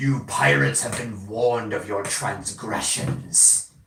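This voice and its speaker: Booming at a medium pitch, a man puts on a character voice at a fairly slow pace, with a slight echo. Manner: stern, accusing.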